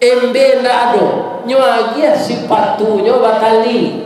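A man with a West Sumatran accent and an extremely high pitch at a very slow pace, with light background noise and strong room echo. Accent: Minangkabau. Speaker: preacher. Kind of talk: sermon. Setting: mosque with congregation. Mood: humorous, animated. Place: church.

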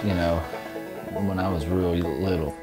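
Clear music sits in the background as a man speaks at a moderate pace. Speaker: old-time musician. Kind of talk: interview answer. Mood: reflective, nostalgic. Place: home room. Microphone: lapel.

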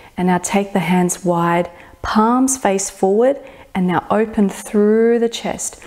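A woman speaks at a very slow pace in a soothing tone. The background is quiet. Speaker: fitness and meditation instructor. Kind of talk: guided meditation with gentle stretching cues. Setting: home studio floor session on video. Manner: slow, soothing, reassuring with long pauses; soft-spoken, gently permissive affirmations. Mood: calm, soothing. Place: home room.

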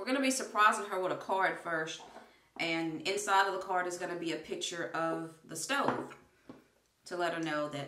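There is audible room echo and light background noise as a woman talks in a fairly low pitch. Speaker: family vlogger. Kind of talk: casual vlog chat. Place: bathroom. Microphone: phone near.

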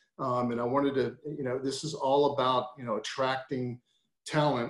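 A man talks in a monotone, flat delivery, with audible room echo around him. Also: moderate pace, quiet background. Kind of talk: presentation. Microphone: video call.

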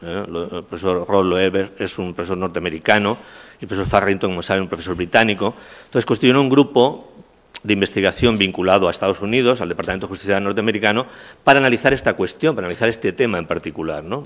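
Here a man speaks at a very fast pace. His pitch is fairly low, with ordinary variation. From Castilla-La Mancha, Spain. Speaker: criminology professor. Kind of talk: lecture. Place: hall. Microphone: podium.

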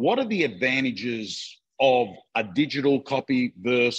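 Speaking at a moderate pace with an Australian accent, the voice shows ordinary pitch variation. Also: man, quiet background. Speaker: real estate coach. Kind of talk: live webinar chat. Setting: video call. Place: office. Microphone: video call.

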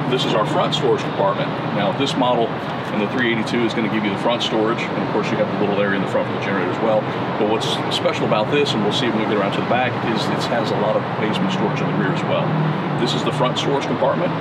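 Loud background noise fills the clip. A man speaks at a very fast pace. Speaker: RV salesman giving tour. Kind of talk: product walkthrough explanation. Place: street.

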